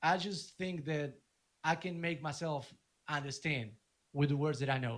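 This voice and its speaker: At a moderate pace, a man with a Spanish accent speaks in a fairly high voice with ordinary pitch variation. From Argentina. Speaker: DJ and music producer. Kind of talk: casual interview chat. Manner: halting, with repeated words.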